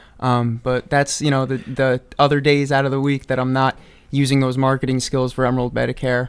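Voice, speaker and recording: Fairly quick and in a monotone, flat intonation, a man with a New York accent speaks at a medium pitch. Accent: New York area American. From US Northeast, Hudson Valley New York. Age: 20s. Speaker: medicare office staff and audio engineering student. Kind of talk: radio interview. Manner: many fillers, halting.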